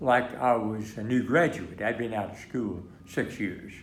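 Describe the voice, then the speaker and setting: A fairly slow voice with an American accent. The room echo can be heard. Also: man. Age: 90s. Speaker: war veteran. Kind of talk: interview. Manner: halting.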